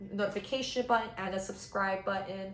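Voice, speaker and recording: In a room with audible echo, a woman talks at a very fast pace with fairly even intonation. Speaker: fitness YouTuber, personal trainer. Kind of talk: vlog-style health explainer. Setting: home apartment, on camera.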